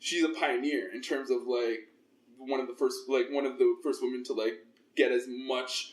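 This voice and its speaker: A man with a Toronto accent speaks at a moderate pace. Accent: Canadian English (Toronto). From Toronto, Canada (Scarborough). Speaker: fitness trainer and podcast host. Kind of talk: casual interview chat.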